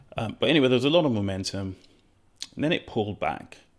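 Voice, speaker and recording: A man is speaking here. His intonation is lively. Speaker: day trader. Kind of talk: trade review vlog. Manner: shaky voice; hesitant, many fillers.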